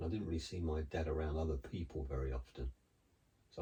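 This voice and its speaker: A man's very deep, low voice, dark and mellow in tone and somewhat breathy, at a very fast pace. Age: 60s. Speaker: co-host, host's husband. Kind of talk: casual chat.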